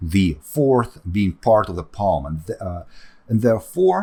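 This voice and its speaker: A somewhat breathy man at a fairly low pitch with lively intonation. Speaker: 3D sculpting artist and tutor. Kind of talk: tutorial. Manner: halting, many fillers.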